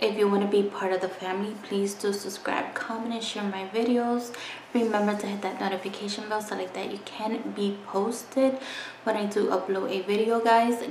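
Light background noise and audible room echo accompany a woman whose intonation stays monotone and flat. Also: moderate pace. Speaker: beauty vlogger. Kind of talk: casual vlog chat. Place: home room. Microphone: phone near.

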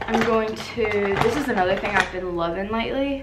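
Noticeable noise fills the background as a woman talks with ordinary variation in pitch. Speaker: beauty vlogger. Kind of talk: casual vlog chat. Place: home room. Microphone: camera far.

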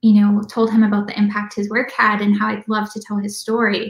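Fairly high-pitched woman in an American accent, monotone and flat, with audible room echo against a quiet background. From Minnesota, US Midwest. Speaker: documentary filmmaker; guest. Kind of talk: interview. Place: home room. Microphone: video call.

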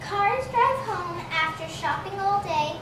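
Against noticeable background noise, a woman speaks at a very slow pace in an extremely high voice with lively intonation. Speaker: storyteller. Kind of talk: children's storybook reading.

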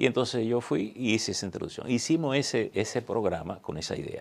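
A man talks at a fairly quick pace. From Dominican Republic, northwest line (Montecristi); Dominican Republic. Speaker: veteran journalist and newspaper director; interview guest, journalist. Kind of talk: interview. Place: studio. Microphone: lapel.

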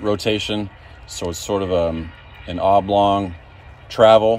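A man speaks with a fairly low pitch and fairly even intonation. The sound is dry, with no echo. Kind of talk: tutorial. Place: farm machine. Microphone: phone near.

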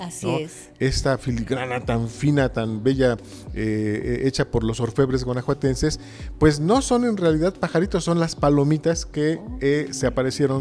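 A man talks at a moderate pace. Behind him, music plays faintly. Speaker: interview guest. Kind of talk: interview answer. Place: church. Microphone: handheld.

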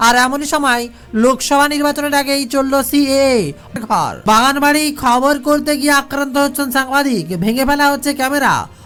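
Delivered at a fairly quick pace with few pauses, the voice has a fairly bright tone and fairly even intonation.

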